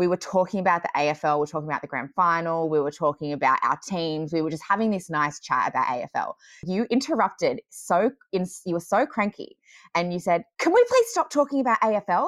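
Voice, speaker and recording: Speaking at a very fast pace, a woman uses lively intonation and a fairly low pitch against a quiet background. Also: dry, close sound with no echo. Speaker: podcast guest sharing her story. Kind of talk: casual chat. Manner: loud, talkative.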